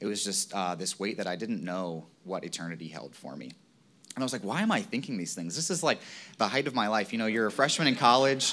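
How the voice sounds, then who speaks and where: A man with an American accent talks at a very fast pace in a fairly low pitch, his bright, sharp tone swinging very widely in pitch. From Virginia, US. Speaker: lay preacher, church group leader. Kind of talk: sermon.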